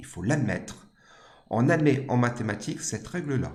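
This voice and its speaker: A somewhat breathy man speaks at a moderate pace in a room with audible echo. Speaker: maths teacher. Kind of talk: lecture.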